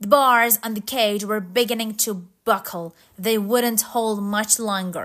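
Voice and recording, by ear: The clip is reading aloud in a natural voice, with fairly even intonation.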